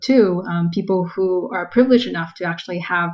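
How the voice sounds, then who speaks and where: A woman speaks with a Californian accent. Her fairly low-pitched voice is somewhat breathy. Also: very clean recording, silent background. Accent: General American, Californian. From US West Coast, Los Angeles. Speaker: tech product manager. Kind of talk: interview.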